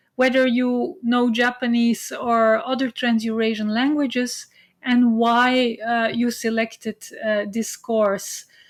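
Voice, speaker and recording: The speaker talks at a fairly slow pace with fairly even intonation in a Flemish accent. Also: woman. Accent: Flemish Belgian English. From Belgium. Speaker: university lecturer. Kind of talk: online lecture. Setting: video call. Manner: hesitant, many fillers.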